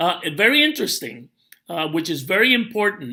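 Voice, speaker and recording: Projecting loudly at a moderate pace, a man with a high, bright, sharp voice swings very widely in pitch on a very clean recording with a silent background. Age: 60s. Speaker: network marketing promoter. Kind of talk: tutorial. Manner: casual, with many fillers.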